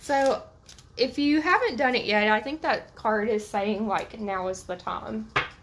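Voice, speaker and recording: Amid noticeable background noise, a woman speaks fairly slowly at a fairly high pitch with lively intonation. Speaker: tarot reader. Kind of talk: live stream tarot reading. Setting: live video stream.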